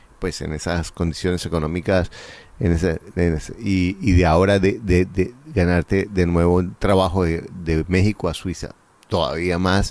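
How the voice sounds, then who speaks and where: A man at a very deep, low pitch, with monotone, flat intonation and a moderate pace. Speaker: real estate investment coach, interviewer. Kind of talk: interview.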